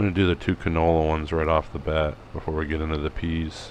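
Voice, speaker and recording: A man's very deep, low voice at a moderate pace amid noticeable background noise. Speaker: farming sim gameplay youtuber. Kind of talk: casual gameplay commentary.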